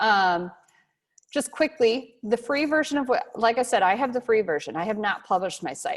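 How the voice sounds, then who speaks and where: A woman's fairly high, animated voice with lively intonation at a moderate pace, over a quiet background. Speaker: instructor. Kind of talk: lecture. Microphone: video call.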